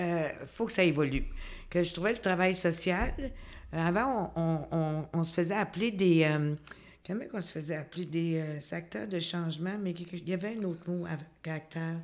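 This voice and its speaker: Speaking with a Quebec accent, a woman uses a fairly low pitch with ordinary variation, moving at a fairly slow pace with long, frequent pauses. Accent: Québécois French. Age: 60s. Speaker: community worker, social worker. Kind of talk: interview.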